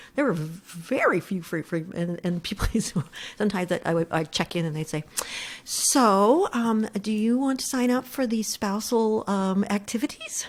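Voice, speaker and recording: A woman with an American accent, somewhat breathy, medium in pitch, at a moderate pace. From Pennsylvania, Pittsburgh. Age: 60s. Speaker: economic development executive. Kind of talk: casual interview. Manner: halting, stammering restarts.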